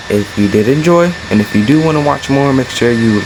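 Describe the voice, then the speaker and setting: Amid noticeable background noise, a man speaks at a moderate pace and medium pitch with ordinary pitch variation. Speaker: gaming youtuber. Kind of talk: tutorial. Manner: casual, hesitant with fillers.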